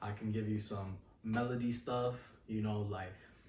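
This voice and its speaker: A man talks in a monotone, flat delivery with an American accent. Noticeable background noise and audible room echo fill the recording. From New York City. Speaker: rapper. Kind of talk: interview. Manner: relaxed.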